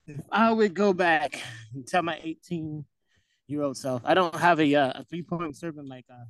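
A man's normal speaking voice, fairly high in pitch, at a moderate pace with big loudness swings and a dry, close sound with no echo. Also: ordinary pitch variation. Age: 20s. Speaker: campus minister. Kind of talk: casual chat.

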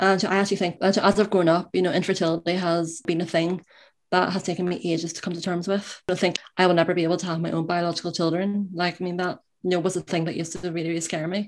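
Very fast, monotone, flat speech in a Northern Irish accent, on a very clean recording with a silent background. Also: woman. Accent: Northern Irish (Belfast). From Northern Ireland, Belfast. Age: 20s. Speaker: university student. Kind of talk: interview, personal story.

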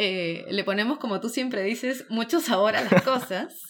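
The speaker has an animated tone with ordinary pitch variation. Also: woman. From Peru. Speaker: podcast co-host, student in Japan. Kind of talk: casual chat. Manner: animated, laughs often.

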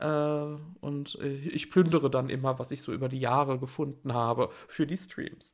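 Somewhat breathy, a man speaks with fairly even intonation against a quiet background. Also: fairly high pitch for a man, moderate pace. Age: 30s. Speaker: art stream host. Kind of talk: casual livestream talk with screen sharing. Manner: hesitant with many fillers.

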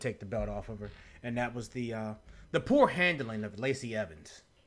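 This man's voice sits at a medium pitch, has ordinary pitch variation and moves at a fairly quick pace. It is a normal speaking voice, captured in a very clean recording against a silent background. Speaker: wrestling podcast co-host. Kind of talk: casual chat.

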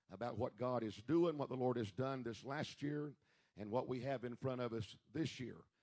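Recorded dry and close with no echo, a man speaks at a medium pitch and a moderate pace. He has an unremarkable speaking voice with ordinary pitch variation. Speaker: church pastor or service leader. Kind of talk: church service announcements and worship leading. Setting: church.

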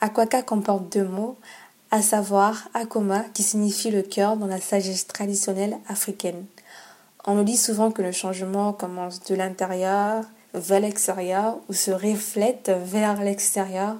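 At a fairly slow pace, a woman speaks in a dark, mellow tone at medium pitch with flat, monotone intonation. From Gabon. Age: 20s. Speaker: podcast host. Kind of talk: personal monologue introduction.

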